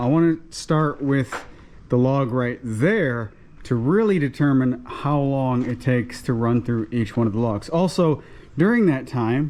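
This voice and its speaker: Ordinary pitch variation at a fairly slow pace. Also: man. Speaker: homesteader and sawmill vlogger. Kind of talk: casual vlog talk to camera. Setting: outdoors at sawmill. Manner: loud.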